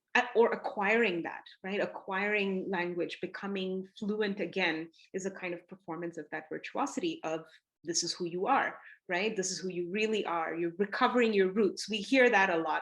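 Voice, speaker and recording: With a Tamil accent, a woman speaks at a medium pitch and moderate pace, her pitch varying in an ordinary way. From south India, Chennai. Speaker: artist and scholar. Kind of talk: interview talk. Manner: reflective, with many fillers.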